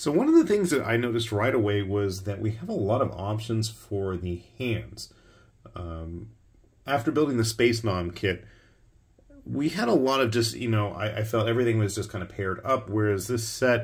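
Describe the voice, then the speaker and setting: Somewhat breathy, a man speaks at a moderate pace. The background stays quiet. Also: ordinary pitch variation. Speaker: miniatures hobbyist reviewer. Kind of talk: casual review commentary. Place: home room.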